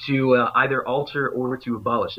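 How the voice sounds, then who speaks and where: This man talks with an American accent at a fairly high pitch. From Kentucky. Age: 20s. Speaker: activist organizer. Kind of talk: interview.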